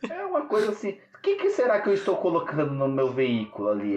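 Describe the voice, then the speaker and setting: A man speaks against noticeable background noise. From São Paulo, Brazil (Grajaú). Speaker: podcast host. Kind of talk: casual chat. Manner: animated.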